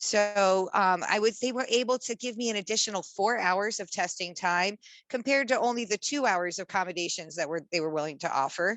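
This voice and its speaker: A woman at a fairly quick pace and medium pitch, with ordinary pitch variation and hardly any pauses. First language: American Sign Language. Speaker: social worker. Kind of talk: testimony. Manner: halting.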